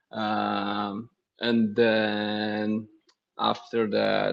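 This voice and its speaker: Speaking at a fairly low pitch, a man keeps his intonation monotone and flat. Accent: Brazilian. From southern Brazil (Blumenau). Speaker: CrossFit coach. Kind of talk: casual interview.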